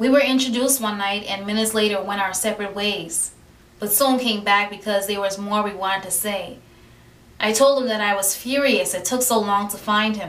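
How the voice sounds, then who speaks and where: A woman talks at a fairly quick pace with audible room echo. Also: medium pitch for a woman, fairly even intonation. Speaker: poet. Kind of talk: spoken word poetry reading. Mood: warm, romantic, expressive. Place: home room. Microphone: camera far.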